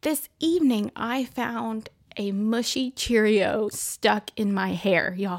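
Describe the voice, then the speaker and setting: With a slight Texan accent, a woman talks in a fairly high voice with ordinary pitch variation. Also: very clean recording, silent background. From Texas. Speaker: podcast host.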